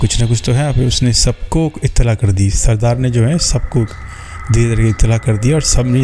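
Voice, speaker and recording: A man's voice with ordinary pitch variation and music in the background. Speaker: horror story narrator. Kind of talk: horror story narration. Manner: conversational, casual storytelling.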